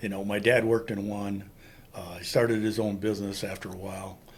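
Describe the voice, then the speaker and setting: With an American accent, a man speaks fairly quickly in a fairly low, monotone, flat voice, with audible room echo around him. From Wisconsin, Green Bay area (US Upper Midwest). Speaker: Vietnam war veteran. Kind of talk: interview testimony.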